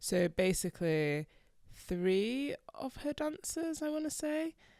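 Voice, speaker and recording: Very slowly, a woman with a Yorkshire accent speaks at a high pitch in a dark, mellow tone, her pitch swinging very widely. The recording is very clean with a silent background, and the sound is dry and close with no echo. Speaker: podcast co-host. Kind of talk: casual chat.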